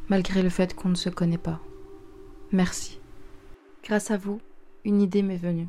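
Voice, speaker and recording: Speaking at a fairly slow pace, a woman uses a medium pitch and a dark, mellow, somewhat breathy tone, with monotone, flat intonation. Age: 20s. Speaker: podcaster and writer. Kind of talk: personal monologue.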